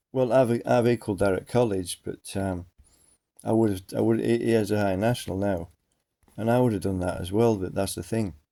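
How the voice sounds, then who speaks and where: In an English accent, a man talks fairly quickly with a fairly low pitch, ordinary pitch variation and a dark, mellow tone. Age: 50s. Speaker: vlogger. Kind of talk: personal monologue. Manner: halting.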